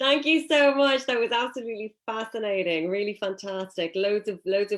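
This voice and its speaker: On a very clean recording with a silent background, a woman speaks at a moderate pace with lively intonation. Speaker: panel moderator. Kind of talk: panel discussion moderation.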